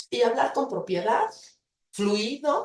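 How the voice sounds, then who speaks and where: Speaking at a moderate pace, a woman with a fairly high, dark, mellow voice swings very widely in pitch. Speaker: university lecturer in psychology. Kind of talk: invited talk. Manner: hesitant with fillers.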